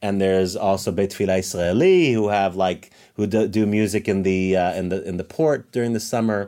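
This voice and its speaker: This man has a fairly low pitch and a dark, mellow tone, and he talks at a fairly quick pace with fairly even intonation. The recording is very clean, with a silent background. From Israel, born in New Jersey. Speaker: singer-songwriter and cantorial soloist. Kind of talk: casual interview.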